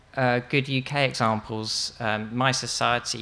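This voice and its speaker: A man's voice has a bright, sharp tone with vocal fry. His intonation stays fairly even. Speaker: conference speaker. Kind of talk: lecture. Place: tent. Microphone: podium.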